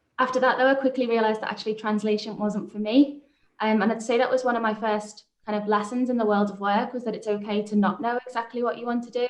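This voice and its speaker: A woman with a Liverpool accent speaks at a fairly high pitch with monotone, flat intonation. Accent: Liverpool (Scouse). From Liverpool, England. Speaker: business manager and startup founder. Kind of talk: panel discussion.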